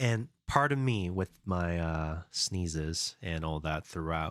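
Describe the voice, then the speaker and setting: On a very clean recording with a silent background and a dry, close sound with no echo, the speaker talks at a fairly slow pace in a relaxed tone, with ordinary pitch variation. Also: man. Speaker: game developer streamer. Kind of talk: live stream chat. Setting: live stream. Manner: casual, relaxed.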